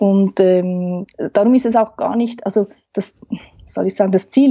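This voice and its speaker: This woman speaks at a fairly slow pace with ordinary pitch variation. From Switzerland, Aargau. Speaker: family therapist. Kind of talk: interview.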